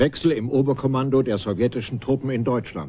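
A man talks at a medium pitch in a dark, mellow tone with vocal fry. His pitch varies in an ordinary way. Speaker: documentary narrator. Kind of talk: scripted documentary narration.

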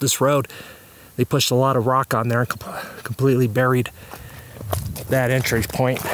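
A man speaks with fairly even intonation. The sound is dry with no echo. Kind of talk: casual vlog commentary. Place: open country. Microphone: phone near.

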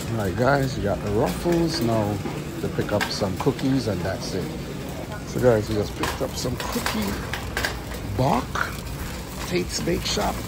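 Heavy background noise fills the recording. Over it, a man talks at a moderate speed. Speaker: delivery driver vlogger. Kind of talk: casual vlog chat. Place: shop. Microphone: phone near.

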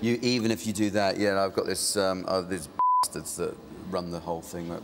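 Noticeable background noise accompanies a man with a very deep, low voice. He talks fairly quickly with fairly even intonation. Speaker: comedian. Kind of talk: TV chat show interview answer.

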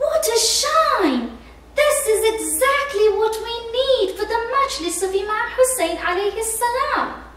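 With slight echo, a woman uses a put-on character voice at an extremely high pitch and a fairly slow pace. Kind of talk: children's story reading. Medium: read story. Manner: polite, enthusiastic. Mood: delighted.

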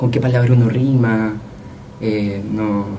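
Spoken with a Chilean accent and fairly even intonation, the voice comes over light background noise. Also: man. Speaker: young poet; guest. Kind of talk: interview. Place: studio. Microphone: studio mic.

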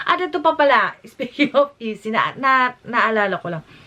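A woman speaks in an animated tone with very wide pitch swings over noticeable background noise. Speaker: YouTube vlogger. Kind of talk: reaction vlog commentary.

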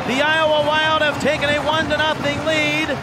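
Over noticeable background noise, a man projects a raised voice at an extremely high pitch with very wide pitch swings. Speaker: hockey play-by-play announcer. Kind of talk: live sports play-by-play. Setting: radio broadcast.

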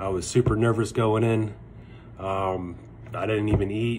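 Against light background noise, a man talks at a fairly low pitch and a fairly slow pace. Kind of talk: casual vlog chat. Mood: relieved and happy. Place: home room. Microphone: phone near.

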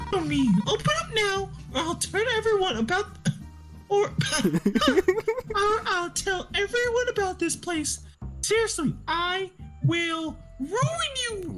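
A put-on character voice sits at an extremely high pitch. Clear music plays in the background. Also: fairly slow pace. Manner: loud, indignant, threatening.

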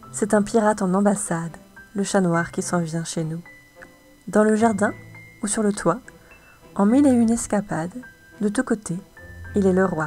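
Over music in the background, a woman speaks at a fairly slow pace with lively intonation. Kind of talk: poetry reading.

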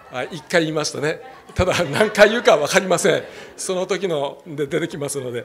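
A man with a high pitch and big swings in loudness, over light background noise. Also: ordinary pitch variation, fairly quick pace. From Japan. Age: 60s. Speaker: pastor. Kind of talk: sermon. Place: church. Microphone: handheld.

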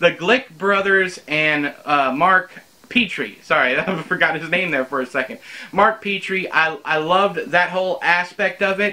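With a bright, sharp tone and a high pitch, a man speaks at a moderate pace with ordinary pitch variation. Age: 30s. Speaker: book reviewer / YouTuber. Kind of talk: casual spoken book review to camera. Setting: home recording in front of bookshelves. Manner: conversational, with frequent fillers and repetitions. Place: home room.

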